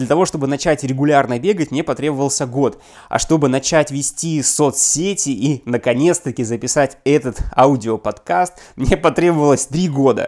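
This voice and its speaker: An ordinary speaking voice, a man at fairly high pitch, with a moderate pace and ordinary pitch variation. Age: 30s. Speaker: business consultant and appraiser. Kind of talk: scripted podcast monologue.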